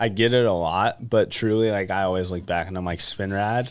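A man speaks with an American accent at a fairly quick pace and fairly low pitch, with ordinary pitch variation. He has an unremarkable speaking voice in a very clean recording with a silent background. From California. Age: 20s. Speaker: RC car racer. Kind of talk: casual chat. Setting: studio.

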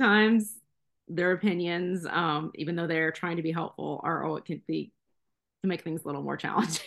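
A woman's plain, everyday voice, fairly low in pitch, with fairly even intonation at a fairly quick pace. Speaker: CBD advocate, mother. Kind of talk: casual interview chat.

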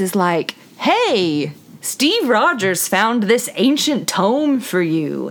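Through noticeable background noise, a woman's pitch swings very widely. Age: 20s. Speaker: podcast co-host, daughter. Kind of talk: casual chat.

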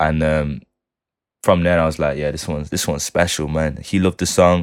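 This man has a Manchester accent. His pitch is very deep and low. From Manchester, England. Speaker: music producer and multi-instrumentalist. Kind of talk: casual interview chat.

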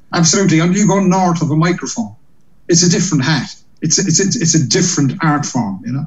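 Audible room echo surrounds the voice. A man with a high pitch speaks at a very fast pace. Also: ordinary pitch variation. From Ireland, Cork. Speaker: comedian and compere. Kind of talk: casual interview.

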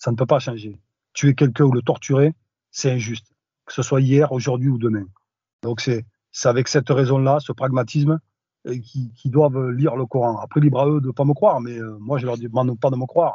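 The speaker talks at a fairly quick pace, somewhat breathy. The intonation stays fairly even, broken by long, frequent pauses. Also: man, medium pitch for a man. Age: 40s. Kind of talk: interview testimony. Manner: hesitant, many fillers.

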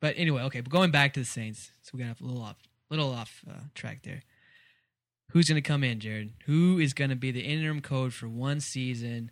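An unremarkable speaking voice with an American accent moves at a fairly quick pace with ordinary pitch variation. Loudness swings widely on a very clean recording with a silent background. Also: man, medium pitch for a man. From Texas. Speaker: sports podcast host. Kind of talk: casual chat.

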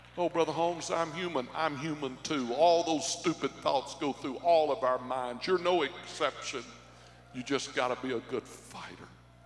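A man with a fairly high pitch talks at a moderate pace and with fairly even intonation, with noticeable background noise behind him. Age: 50s. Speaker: pastor. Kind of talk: sermon. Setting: church.

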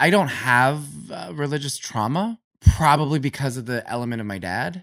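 In a very clean recording with a silent background, a man with an American accent speaks at medium pitch and a moderate pace. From Ohio, US Midwest. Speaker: Satanic Temple member. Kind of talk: casual interview.

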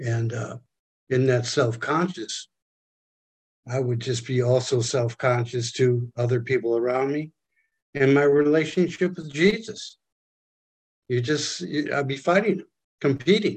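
Pausing long and often, a man speaks at a fairly slow pace, somewhat breathy, at medium pitch with ordinary pitch variation. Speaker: study group participant.

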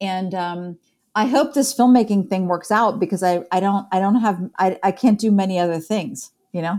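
In a very clean recording with a silent background, a woman with an American accent talks at a fairly quick pace and medium pitch. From Columbus, Ohio, US Midwest. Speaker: film director and university professor. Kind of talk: interview. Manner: halting, many fillers.

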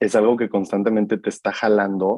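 A man's fairly low, dark, mellow voice at a moderate pace over a quiet background. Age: 30s. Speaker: marketer sharing mental health reflections. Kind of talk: casual interview about personal mental health journey.

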